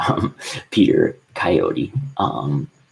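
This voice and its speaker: A man is whispering. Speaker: book recommender vlogger. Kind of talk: casual monologue with reading aloud. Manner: halting, many fillers.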